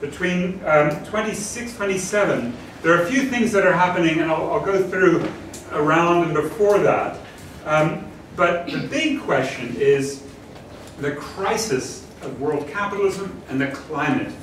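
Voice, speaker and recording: With audible room echo and noticeable background noise, a man with high pitch talks at a fairly slow pace using lively intonation. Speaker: professor. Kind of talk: lecture.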